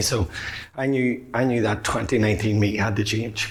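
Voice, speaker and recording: A man with an Irish accent speaks at a fairly low pitch with fairly even intonation, with audible room echo and noticeable background noise. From Ireland. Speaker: public speaker, men's mental health advocate. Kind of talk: conference talk. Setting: stage with audience. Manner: fast; hesitant with fillers.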